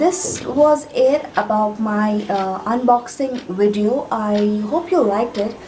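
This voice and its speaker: Audible room echo and noticeable background noise around speech with lively intonation. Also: woman. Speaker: beauty and tech vlogger. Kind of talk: product unboxing vlog. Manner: soft-spoken.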